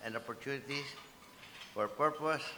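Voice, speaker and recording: A man talks at a moderate pace in a monotone, flat intonation. Noticeable background noise runs underneath. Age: 70s. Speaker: business executive, keynote speaker. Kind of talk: keynote speech. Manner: formal.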